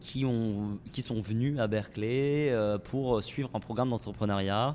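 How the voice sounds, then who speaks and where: A man talks at a fairly low pitch with fairly even intonation. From southern France, near Montpellier. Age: 20s. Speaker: startup co-founder. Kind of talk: podcast interview. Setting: in a shop. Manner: hesitant, many fillers.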